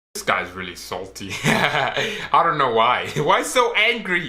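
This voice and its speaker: Speaking at a fairly slow pace, a man lets his pitch swing very widely. Audible room echo surrounds his voice. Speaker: reaction youtuber. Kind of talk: reaction commentary. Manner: loud; animated.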